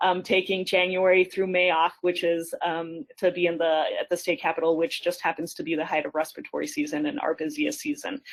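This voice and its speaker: With an unremarkable speaking voice, a woman talks at medium pitch and a moderate pace. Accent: American. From Colorado, Denver area. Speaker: pediatrician and state senator. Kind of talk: webinar panel discussion. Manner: many filler words, frequent ums.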